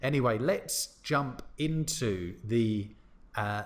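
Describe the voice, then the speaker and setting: Very wide pitch swings in a London accent. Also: man. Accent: Southern British English, London. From southern England, London. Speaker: English teacher. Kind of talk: educational chat.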